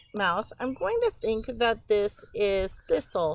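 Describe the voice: The passage comes across as plain reading aloud.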